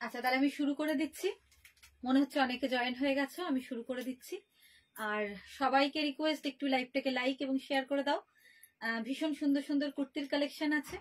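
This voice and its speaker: High pitch from a woman, quiet background behind her. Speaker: shop seller hosting a live sale. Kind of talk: live sales presentation. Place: shop. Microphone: phone near.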